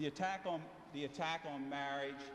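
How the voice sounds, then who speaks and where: There is noticeable background noise. A man with an American accent speaks at a fairly high pitch. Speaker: attorney, debate speaker. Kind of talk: prepared debate speech. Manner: loud.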